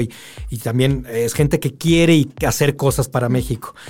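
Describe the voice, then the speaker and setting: Music plays in the background as a man with a Mexican accent speaks at medium pitch with ordinary pitch variation. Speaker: film director and animator. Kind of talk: interview. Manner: animated.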